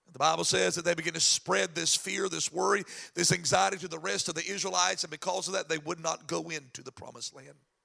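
This man talks very fast, with hardly any pauses. His tone is animated, and his loudness swings widely. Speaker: pastor. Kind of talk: sermon. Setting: church.

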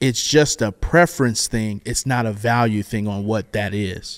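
A man's animated tone at a fairly slow pace, in a dry, close sound with no echo. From US South. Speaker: worship leader. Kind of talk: casual chat. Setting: studio.

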